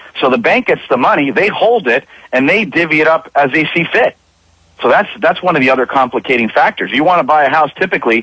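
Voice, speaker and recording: A man's fairly high, bright, sharp voice at a fairly quick pace. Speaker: insurance claims attorney, guest on radio show. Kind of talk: radio interview answer. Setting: radio studio.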